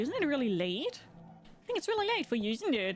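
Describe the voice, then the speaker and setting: This woman has a high voice and a German accent. Noticeable background noise sits behind her. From Germany. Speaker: gaming streamer. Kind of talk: live gameplay stream chat. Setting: live stream.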